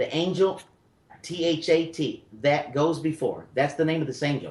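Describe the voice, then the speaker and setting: With a Memphis accent, a man speaks at a moderate pace in a fairly high pitch, keeping his intonation fairly even. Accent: Southern US (Memphis). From US South (Memphis, Tennessee). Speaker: spiritual medium radio host. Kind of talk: call-in radio reading. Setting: radio studio.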